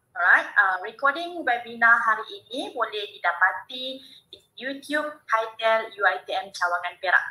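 A woman's fairly high, bright, sharp voice in a Malaysian accent, with very wide pitch swings and a fairly slow pace. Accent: Malaysian Malay. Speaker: webinar moderator. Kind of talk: formal event hosting. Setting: video call. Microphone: video call.

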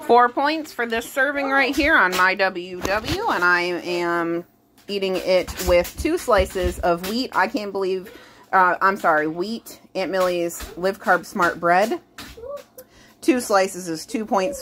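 Speech comes at a very slow pace with lively intonation. Noticeable background noise is present. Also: woman. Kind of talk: cooking tutorial. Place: kitchen. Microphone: phone near.

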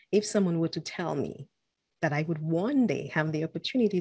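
A woman's dark, mellow voice at a fairly low pitch, with ordinary pitch variation and a quiet background. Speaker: podcast host. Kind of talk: podcast intro. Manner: excited. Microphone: studio mic.

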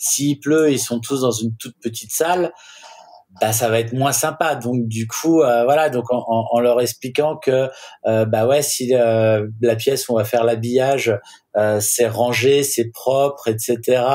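Very slow, fairly even speech from a man. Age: 40s. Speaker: wedding photographer; guest. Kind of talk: casual chat. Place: home room.

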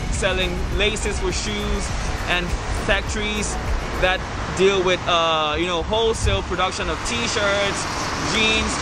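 A man speaks at a fairly slow pace, with long, frequent pauses. Music plays in the background. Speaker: vlogger. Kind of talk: casual vlog chat. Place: street.

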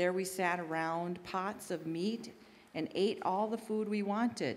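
Ordinary pitch movement and a moderate pace in a woman's speech. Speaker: lay scripture reader. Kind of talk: scripture reading. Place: church. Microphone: podium.

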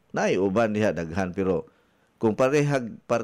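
The man's voice sits at a fairly low pitch and moves at a moderate pace. It is a very clean recording with a silent background. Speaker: radio health coach and wellness consultant. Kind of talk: radio health talk show. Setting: radio studio. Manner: animated.

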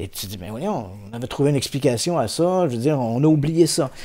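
In a dark, mellow tone, a man speaks at a moderate pace. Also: quiet background. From Quebec, Saint-Jean-sur-Richelieu region; Quebec. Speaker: paranormal investigator and journalist; journalist. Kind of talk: casual interview. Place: studio. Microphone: studio mic.

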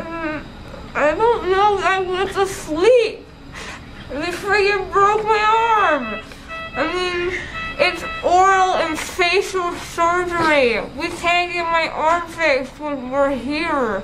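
An extremely high-pitched woman speaks at a very slow pace over faint music in the background. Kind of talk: groggy emotional talk. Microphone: phone near.

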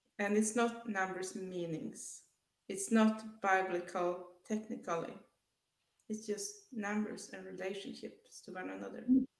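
Audible room echo surrounds a woman speaking at a fairly slow pace with a medium pitch. Her intonation stays fairly even, though her loudness swings a lot. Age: 30s. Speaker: author and artist; interview guest. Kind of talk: testimony; interview answer. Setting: video call. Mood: earnest, reflective. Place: home room. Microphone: headset.

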